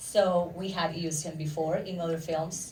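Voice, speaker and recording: A woman talks at a moderate pace, and audible room echo follows her words. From Dominican Republic. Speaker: actor and filmmaker. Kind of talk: panel interview.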